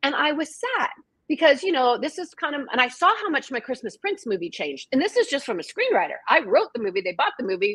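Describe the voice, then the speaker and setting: Talking at a very fast pace in an American accent, a woman uses a high pitch, very wide pitch swings and an animated tone. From Washington state, US. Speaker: author and screenwriter. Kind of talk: casual chat. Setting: livestream video call.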